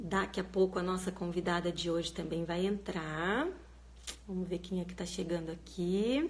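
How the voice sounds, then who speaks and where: A woman's fairly low voice with vocal fry, fairly even intonation and a moderate pace. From Minas Gerais, Brazil (Guaxupé, south of Minas). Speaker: live stream host, reading educator. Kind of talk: live stream chat. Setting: live video stream from parents' home. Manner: casual, conversational.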